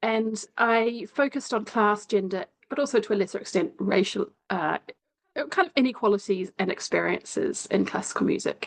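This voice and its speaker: A woman speaks with a New Zealand accent. Her voice has vocal fry. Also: fairly high pitch for a woman, lively intonation, moderate pace. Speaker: sociology lecturer, former classical musician. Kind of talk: interview. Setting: video call.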